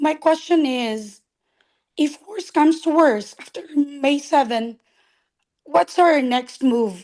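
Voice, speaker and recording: A woman speaks at a very slow pace in a high pitch. Her intonation is lively, with big swings in loudness. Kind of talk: question in group call.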